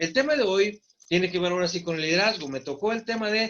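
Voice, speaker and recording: A man's high voice races along at a very fast clip, his intonation lively. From Mexico, Torreón, Coahuila (La Laguna region). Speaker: preacher. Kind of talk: sermon. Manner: halting, many fillers.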